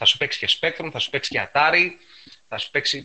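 A man is speaking. His voice has vocal fry. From Piraeus, Greece. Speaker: retro computing enthusiast. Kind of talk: casual chat.

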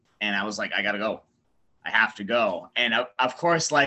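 This is an ordinary speaking voice, a man with an American accent at a medium pitch. He keeps a moderate pace with ordinary pitch variation. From US Northeast. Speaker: professional wrestler. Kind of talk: casual chat.

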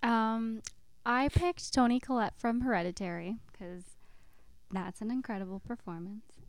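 A woman speaks in a normal speaking voice at a moderate pace, with big swings in loudness. Her pitch is fairly high, with ordinary variation. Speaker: podcast co-host. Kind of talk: casual chat.

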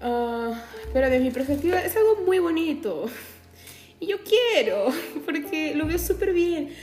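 With very wide pitch swings and long, frequent pauses, the voice moves at a fairly slow pace amid noticeable background noise and audible room echo. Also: woman, extremely high pitch for a woman. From Peru, Chincha (Ica). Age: young. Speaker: podcaster. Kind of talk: casual monologue. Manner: animated.

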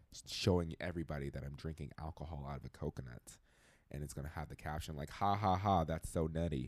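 In a very deep, low voice with vocal fry, a man talks at a very fast pace in an animated tone. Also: ordinary pitch variation. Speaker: podcast guest. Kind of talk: casual chat. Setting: studio. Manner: loud.

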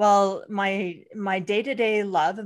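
A woman with a plain, everyday voice speaks at a fairly slow pace and medium pitch. The recording is very clean, with a silent background. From Canada. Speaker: brand designer and strategist, podcaster. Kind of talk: casual interview chat.

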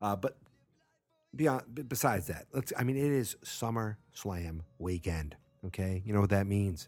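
An ordinary speaking voice, a man at a fairly slow pace with lively intonation. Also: fairly low pitch for a man. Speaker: wrestling podcast host. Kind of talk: casual solo podcast talk. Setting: home at night. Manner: rambling, many fillers.

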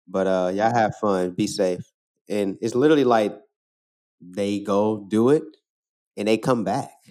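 This man talks at a fairly slow pace with a fairly low pitch and ordinary pitch variation. His speech has long, frequent pauses. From St. Louis, Missouri (north side). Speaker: photographer and mixed media artist. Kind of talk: interview, personal storytelling. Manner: casual, relaxed.

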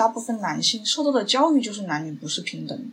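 A woman speaks in a Changsha accent at a very fast pace. Her fairly high pitch moves through very wide swings. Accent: Changsha-accented Mandarin. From China, Hunan (Changsha). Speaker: documentary filmmaker. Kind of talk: interview conversation.

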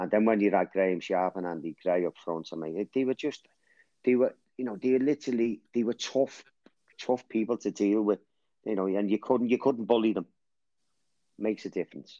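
A man's fairly low voice with ordinary pitch variation, a fairly quick pace, long and frequent pauses, and a dry, close sound with no echo. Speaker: guest, lifelong football fan. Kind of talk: casual chat.

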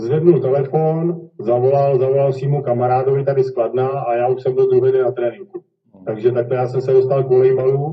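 Somewhat breathy, a man talks at a fairly quick pace in a monotone, flat intonation. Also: medium pitch for a man. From Czech Republic, Kladno. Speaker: volleyball player. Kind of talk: interview. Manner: halting.

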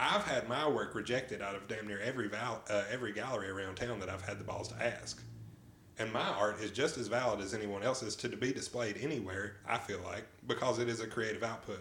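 A man's fairly low voice at a very fast pace, fairly even in intonation, with noticeable background noise. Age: 30s. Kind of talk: casual chat. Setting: recorded on the move around town.

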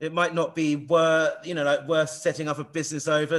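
With an English accent, a man speaks at a fairly quick pace in a fairly high pitch with ordinary pitch variation, on a very clean recording with a silent background. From England. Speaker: podcast host. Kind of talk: casual interview. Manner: halting, many repeated words.

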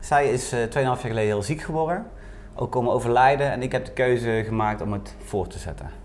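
At a fairly quick pace, a man with an ordinary speaking voice talks at medium pitch with ordinary pitch variation. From Netherlands, North Brabant. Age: 20s. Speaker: lunchroom owner. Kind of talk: casual chat. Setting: restaurant.

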